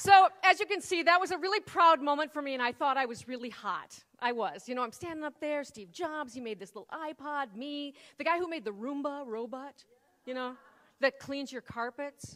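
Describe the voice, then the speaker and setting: In an American accent, a woman speaks at a high pitch with lively intonation and big swings in loudness. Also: moderate pace. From US Midwest. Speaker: keynote speaker. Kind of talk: keynote speech. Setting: stage with audience. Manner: animated.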